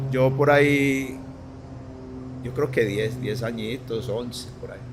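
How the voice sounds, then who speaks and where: With music in the background and audible room echo, a man speaks very slowly at a medium pitch in a monotone, flat intonation, his loudness swinging a lot. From Colombia, Antioquia (Medellín). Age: 60s. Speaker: former professional footballer. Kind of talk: casual interview chat. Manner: halting, repeats words.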